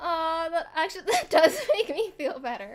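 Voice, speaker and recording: A woman's extremely high voice with lively intonation at a moderate pace. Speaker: live streamer. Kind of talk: casual chat. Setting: livestream. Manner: soft-spoken.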